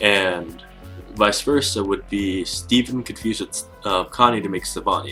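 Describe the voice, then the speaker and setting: This man talks fairly slowly with ordinary pitch variation, music playing behind him. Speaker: YouTuber discussing cartoon theories. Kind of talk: casual talk to camera. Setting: built-in camera microphone.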